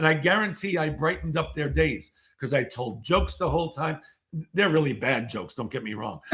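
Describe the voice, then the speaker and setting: Energetic and animated, a man with a fairly high pitch speaks at a fairly quick pace, showing lively intonation and vocal fry. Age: 60s. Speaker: keynote speaker and author. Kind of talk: casual interview chat. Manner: energetic, animated.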